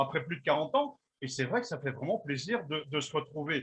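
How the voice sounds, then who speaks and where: A man's normal speaking voice, fairly quick, with ordinary pitch variation. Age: 50s. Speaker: radio host and interviewer. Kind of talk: interview.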